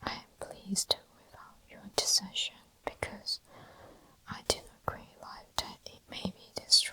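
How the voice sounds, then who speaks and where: Whispering at a very slow pace, with noticeable background noise. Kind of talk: whispered ASMR book reading for sleep. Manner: whispered, soft-spoken.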